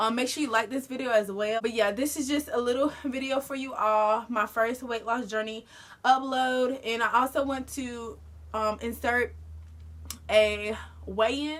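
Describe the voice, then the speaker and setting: A woman talks at a high pitch. Her intonation stays fairly even. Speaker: lifestyle vlogger. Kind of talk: casual vlog talk to camera. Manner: fast.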